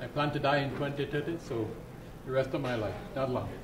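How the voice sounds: Against clear background noise, a man talks at a fairly quick pace with a medium pitch and ordinary pitch variation.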